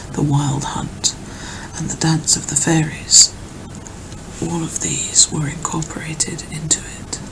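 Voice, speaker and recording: A woman whispers at a fairly slow pace, leaving long, frequent pauses. Her loudness swings widely, and there is noticeable background noise. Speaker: ASMR creator. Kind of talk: ASMR reading of an encyclopedia article. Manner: whispered, soft-spoken.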